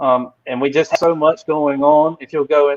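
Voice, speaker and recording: A man speaks with a Southern US accent. His voice is fairly high for a man, and his intonation is fairly even. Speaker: crypto company representative. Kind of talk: casual livestream chat. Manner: halting, many fillers.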